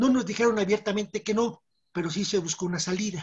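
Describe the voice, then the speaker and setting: Pitch varies in an ordinary way. There is a somewhat breathy quality to the voice. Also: woman. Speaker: former student activist. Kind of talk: interview testimony.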